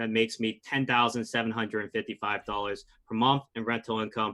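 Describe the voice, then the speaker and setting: Here is an ordinary speaking voice from a man with an American accent. He talks at medium pitch and a fairly quick pace with fairly even intonation. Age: 20s. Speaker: real estate investor and pharmacist. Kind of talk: podcast interview.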